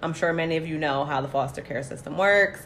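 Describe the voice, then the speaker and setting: Her voice sits very deep and low. This woman has a strikingly low register. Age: 20s. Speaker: podcast co-host.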